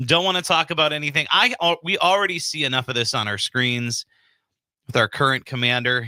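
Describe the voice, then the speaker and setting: The voice moves at a fairly quick pace with a bright, sharp tone. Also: man, fairly high pitch for a man, ordinary pitch variation. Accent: Upper Midwest. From Wisconsin, Sheboygan County. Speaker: radio host. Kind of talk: casual chat.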